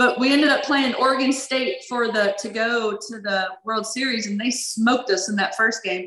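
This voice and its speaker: In a Louisiana accent, a woman talks at a fairly high pitch and a moderate pace, with fairly even intonation and hardly any pauses. Noticeable background noise sits behind her. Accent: Louisiana Southern US. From Louisiana (Baton Rouge). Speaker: former college softball player. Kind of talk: interview.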